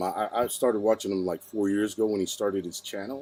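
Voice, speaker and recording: The man speaks in a dark, mellow tone. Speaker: podcast host. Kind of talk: podcast intro.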